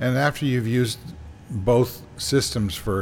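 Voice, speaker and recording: A man speaks at a moderate pace, somewhat breathy. His pitch moves with ordinary variation. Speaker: show host. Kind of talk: casual panel discussion. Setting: video call recorded for streaming.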